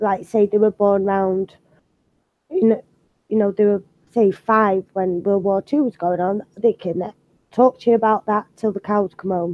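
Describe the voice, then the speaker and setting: With a British accent, a woman at medium pitch talks fairly slowly, leaving long, frequent pauses. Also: fairly even intonation. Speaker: art channel host. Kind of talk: casual chat. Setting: live video stream.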